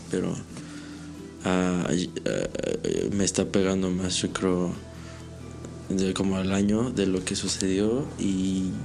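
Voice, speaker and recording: With music in the background, a man with a very deep, low pitch speaks very slowly in a flat monotone, his loudness very even and his speech broken by long, frequent pauses. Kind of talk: interview answer about personal trauma, casual talk. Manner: hesitant, halting, with many filler repetitions.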